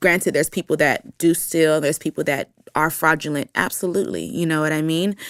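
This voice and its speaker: In a very clean recording with a silent background and a dry, close sound with no echo, a woman with an American accent speaks in an animated tone at a very deep, low pitch. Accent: American, Nigerian accent dropped. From Nigeria, Akwa Ibom State, then raised in US. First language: Ibibio. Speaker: dancer and choreographer. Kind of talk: podcast interview, casual chat.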